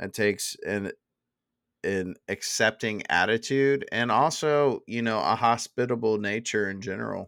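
This man talks at a fairly slow pace in a medium pitch with ordinary pitch variation and an unremarkable speaking voice. The recording is very clean, with a silent background. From Dallas, Texas. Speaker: podcast host. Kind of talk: casual chat.

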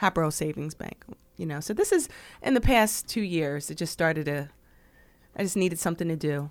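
A woman with an American accent, fairly low pitch and ordinary pitch variation, at a fairly quick pace with long, frequent pauses, on a very clean recording with a silent background. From New Jersey, Burlington Township. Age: 40s. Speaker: high school counselor. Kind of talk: interview conversation.

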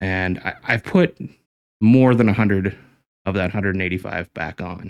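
On a very clean recording with a silent background, a man speaks fairly slowly in a very deep, low voice. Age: 40s. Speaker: professional photographer. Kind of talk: casual interview chat.

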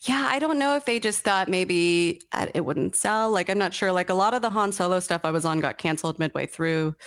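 A woman talks in a normal speaking voice at a medium pitch. Her intonation is lively, her pace fairly quick, with hardly any pauses. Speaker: toy sculptor. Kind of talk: casual interview. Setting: video call.

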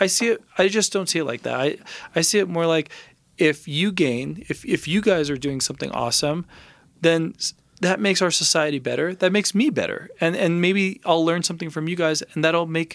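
Using a high pitch, a man talks at a fairly quick pace with ordinary pitch variation. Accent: Californian. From Los Angeles. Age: 30s. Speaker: recording engineer. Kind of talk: casual interview chat.

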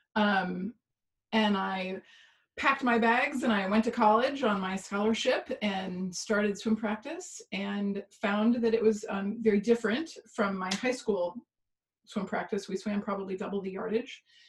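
With an American accent, a woman speaks in an unremarkable speaking voice, medium in pitch with ordinary variation, at a fairly slow pace. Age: 40s. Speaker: pain coach and former swimmer. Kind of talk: interview storytelling.

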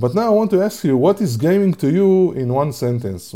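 In an Israeli accent, a man speaks with a dark, mellow tone and very wide pitch swings. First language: Hebrew. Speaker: podcast host and gamification researcher. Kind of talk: casual chat. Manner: animated.

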